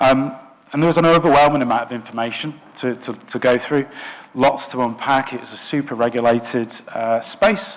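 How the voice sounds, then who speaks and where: With a Lancashire accent, a man talks at a moderate pace and medium pitch, his pitch varying in an ordinary way and his loudness swinging widely against noticeable background noise. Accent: northern English (Lancashire). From northwest England, Blackburn. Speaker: product design director. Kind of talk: conference talk. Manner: hesitant, many filler words.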